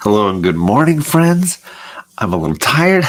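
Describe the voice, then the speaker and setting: Soft-spoken, a man lets his pitch swing very widely. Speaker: comic book YouTuber. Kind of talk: casual livestream chat. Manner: soft-spoken, keeping voice down.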